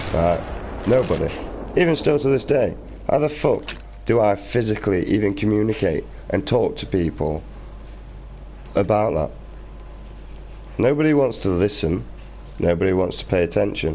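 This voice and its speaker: A man with a British accent speaks at a moderate pace with long, frequent pauses and very wide pitch swings. His tone is dark and mellow, with vocal fry. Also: fairly low pitch for a man. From Britain. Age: 20s. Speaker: gaming streamer. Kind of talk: live stream rant. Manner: animated.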